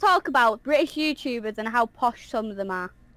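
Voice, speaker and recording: Speaking at a fairly quick pace in a Manchester accent, a woman has a bright, sharp tone and very wide pitch swings. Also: dry, close sound with no echo. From northern England, Manchester. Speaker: YouTuber and voice actor. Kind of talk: casual chat. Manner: loud at times.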